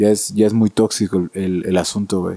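A man's dark, mellow tone in a dry, close sound with no echo, on a very clean recording with a silent background. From Mexico, Oaxaca. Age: 20s. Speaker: violinist. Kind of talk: casual chat.

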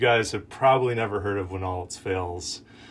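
There is audible room echo around a man whose voice is somewhat breathy. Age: 30s. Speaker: campus minister / preacher. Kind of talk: sermon. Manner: casual, conversational with fillers.

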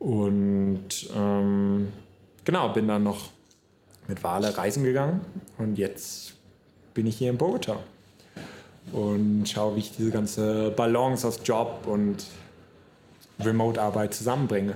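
The dark, mellow voice moves at a very slow pace with long, frequent pauses, fairly even intonation and very even loudness, with audible room echo. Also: man, fairly low pitch for a man. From northern Germany, near Hamburg. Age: 20s. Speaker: podcaster. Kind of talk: solo podcast monologue. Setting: solo podcast recording. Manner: casual, many fillers.

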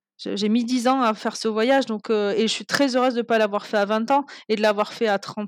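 A woman's fairly high voice at a fairly quick pace with fairly even intonation. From Toulouse, southern France. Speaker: traveller and guesthouse owner. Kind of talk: interview storytelling. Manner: hesitant, many fillers.

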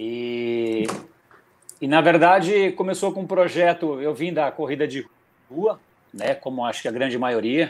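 A man's fairly high voice with ordinary pitch variation, at a moderate pace. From Brazil, São Paulo state. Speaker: amateur triathlete. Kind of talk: casual chat.

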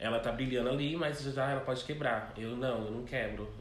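Audible room echo surrounds a voice with ordinary pitch variation that keeps a moderate pace. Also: man. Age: 20s. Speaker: drag queen, pageant contestant. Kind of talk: interview. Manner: calm.

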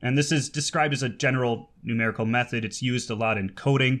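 The recording is very clean, with a silent background. A plain, everyday voice speaks at a moderate pace with ordinary pitch variation. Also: man. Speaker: podcast host; baritone singer. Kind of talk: casual interview.

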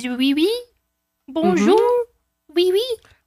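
This is a put-on character voice in a French accent. The pitch is extremely high. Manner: silly, put on.

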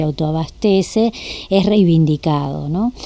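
A woman speaks at a fairly slow pace with a fairly low pitch, in a Rioplatense accent. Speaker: radio host. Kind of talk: interview. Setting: studio.

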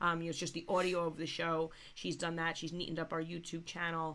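A woman speaks at a fairly quick pace in a raspy, low voice with a fairly bright tone and monotone, flat intonation.

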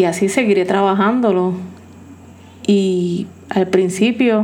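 Noticeable background noise is present throughout. The woman's voice sits at a medium pitch. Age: 40s. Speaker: podcast host in addiction recovery. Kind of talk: personal monologue.

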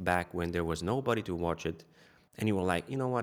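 With a Bulgarian accent, a man talks at a fairly quick pace in a very deep, low pitch, with ordinary pitch variation. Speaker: YouTube content creator. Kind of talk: casual interview chat. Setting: video call from his studio.

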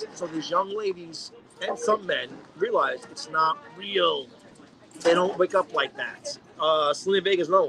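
A man talks at a moderate pace with big swings in loudness. Noticeable noise sits in the background. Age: 40s. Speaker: podcast co-host. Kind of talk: casual chat.

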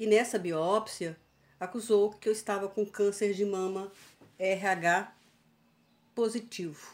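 A woman speaks at a very slow pace with long, frequent pauses. Her medium-pitched voice keeps a fairly even intonation. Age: 60s. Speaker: cancer survivor. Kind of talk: interview, personal testimony.

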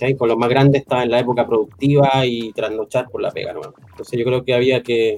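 A man speaks at a very fast pace with medium pitch and monotone, flat intonation. Noticeable background noise runs underneath. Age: 50s. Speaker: IT college teacher. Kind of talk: casual interview chat.

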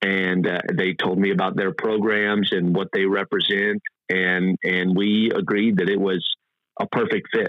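In a Texan accent, a man talks fairly slowly at a fairly low pitch, with monotone, flat intonation and very even loudness. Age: 30s. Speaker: off-road racer and oil industry worker. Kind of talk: casual interview.

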